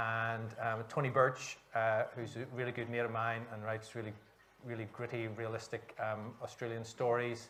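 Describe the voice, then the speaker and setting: Speaking at a moderate pace with a Northern Irish accent, a man holds a medium pitch in a monotone, flat delivery. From Northern Ireland, Belfast. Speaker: author. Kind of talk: panel discussion.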